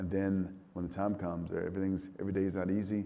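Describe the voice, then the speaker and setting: A man's very fast, monotone, flat delivery in a very deep, low pitch and dark, mellow tone, with audible room echo. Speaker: military commander. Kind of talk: fireside chat interview. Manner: halting, repeats words.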